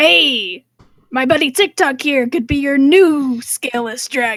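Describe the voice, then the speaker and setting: A woman's high-pitched put-on character voice, fairly slow, with lively intonation. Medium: actual play. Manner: grumbling, wry.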